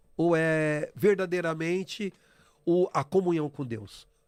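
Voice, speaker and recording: A man's fairly high voice comes through on a very clean recording with a silent background. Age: 50s. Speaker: church member sharing testimony. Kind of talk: testimony. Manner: halting.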